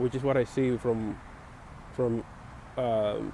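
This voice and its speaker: A man with a Spanish accent at a moderate pace, over noticeable background noise. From Dominican Republic. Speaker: vlogger sharing opinions. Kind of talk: personal opinion monologue. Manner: halting, many fillers.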